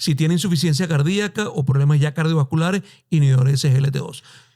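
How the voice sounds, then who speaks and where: Rushing at a very fast pace, a man with a Caracas accent speaks at a fairly high pitch in a dark, mellow, somewhat breathy tone with ordinary pitch variation. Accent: Venezuelan Spanish (Caracas). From Venezuela, Caracas. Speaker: endocrinologist. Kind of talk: podcast interview.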